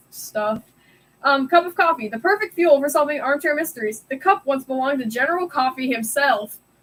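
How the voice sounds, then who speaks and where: A woman mumbles loudly at a high pitch. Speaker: streamer. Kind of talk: live stream reading puzzle book aloud with commentary. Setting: live stream. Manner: loud, mumbling.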